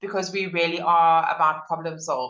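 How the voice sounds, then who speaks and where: A woman speaks with fairly even intonation. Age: 40s. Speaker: entrepreneur and business consultant. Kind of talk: podcast interview. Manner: hesitant, many fillers.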